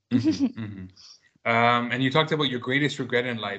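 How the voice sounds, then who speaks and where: A man talks at a very fast pace. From Toronto, Canada. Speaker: podcast host. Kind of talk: interview questionnaire.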